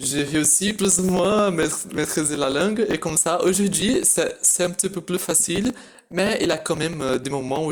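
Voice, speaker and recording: A man talks with a Portuguese accent. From Brazil. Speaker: language learner, video host. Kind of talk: casual chat. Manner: halting.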